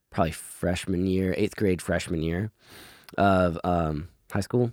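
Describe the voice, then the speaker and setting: A man's very deep, low voice with an American accent, at a moderate pace, in a dry, close sound with no echo. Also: very clean recording, silent background. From US South, Georgia (Conyers). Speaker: rock band lead singer. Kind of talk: casual interview. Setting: in person.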